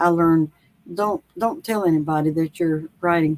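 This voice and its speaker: This woman has a fairly low pitch and a North Carolina accent. The sound is dry and close, with no echo. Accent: Southern, North Carolina accent somewhat. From US South, North Carolina. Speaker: author. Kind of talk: interview. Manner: halting, many fillers; slow, unhurried.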